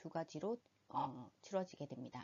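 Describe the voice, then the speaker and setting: Speaking with a Busan accent, a woman uses lively intonation at a fairly low pitch. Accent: Busan dialect (Gyeongsang). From Busan, South Korea. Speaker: medical interpreting instructor. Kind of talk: educational presentation narration. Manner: slightly nervous, trembling.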